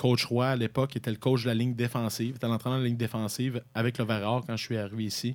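A man speaks at a very fast pace with hardly any pauses. His intonation is monotone and flat, at medium pitch. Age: 30s. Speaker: university football head coach. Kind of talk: interview.

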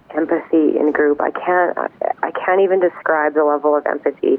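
This is a woman speaking. There is noticeable noise behind her. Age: 40s. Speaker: anxiety support group volunteer. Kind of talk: interview testimony.

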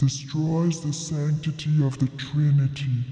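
In a put-on character voice, a man speaks fairly slowly at a fairly high pitch with monotone, flat intonation. There is a slight echo. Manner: evil, villainous, exaggerated.

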